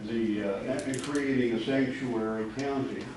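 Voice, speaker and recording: A man speaks with fairly even intonation over noticeable background noise and audible room echo. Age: 70s. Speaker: citizen addressing county officials. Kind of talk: public comment speech.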